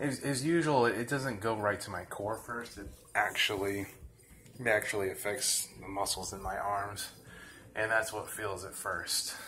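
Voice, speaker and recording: Audible room echo carries a man's fairly low voice, which shows ordinary pitch variation. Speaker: fitness vlogger. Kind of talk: tutorial. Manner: slow, deliberate.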